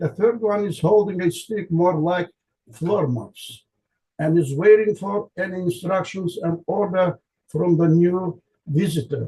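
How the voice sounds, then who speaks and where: A man with an Azerbaijani accent speaks at a fairly slow pace. His voice is high for a man, with a dark, mellow tone and ordinary pitch variation. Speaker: linguistics researcher. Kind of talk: conference lecture. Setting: conference presentation. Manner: halting, with self-corrections.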